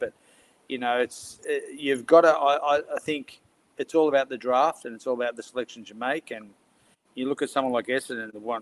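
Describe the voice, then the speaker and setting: With an Australian accent, a fairly high-pitched man talks at a fairly quick pace, his loudness swinging widely. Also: dry, close sound with no echo. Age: 60s. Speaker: football panellist. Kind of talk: casual chat.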